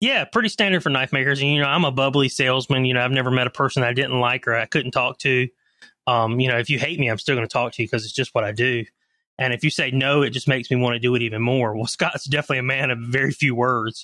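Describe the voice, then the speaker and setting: In a Southern US accent, a man speaks at a very fast pace with a bright, sharp tone and fairly even intonation. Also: medium pitch for a man, dry, close sound with no echo. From coastal North Carolina (Leland, near Wilmington). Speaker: knife maker and salesman. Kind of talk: casual interview chat.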